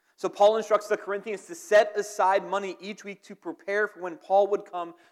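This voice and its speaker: A man's high-pitched voice at a moderate pace. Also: big swings in loudness. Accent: American. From southern New Jersey, near Philadelphia. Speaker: pastor. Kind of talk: sermon. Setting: church.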